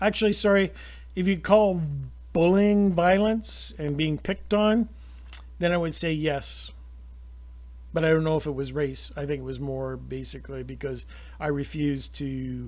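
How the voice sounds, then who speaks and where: Here a man speaks with a Canadian accent at a moderate pace. He leaves long, frequent pauses. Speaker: YouTuber commentator. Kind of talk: opinion monologue. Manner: halting.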